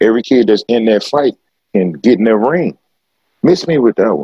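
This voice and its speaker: At a medium pitch, a man with vocal fry speaks at a moderate pace, his voice making very wide pitch swings. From Southeast Texas, Beaumont. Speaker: fitness trainer and motivational speaker. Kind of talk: casual chat. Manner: animated.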